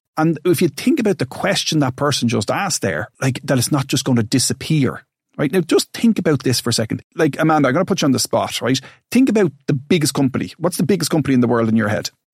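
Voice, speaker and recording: Very fast and somewhat breathy, a man with an Irish accent speaks at a fairly high pitch with lively intonation, in a very clean recording with a silent background and a dry, close sound with no echo. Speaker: financial advisor and podcast host. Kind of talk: casual educational chat.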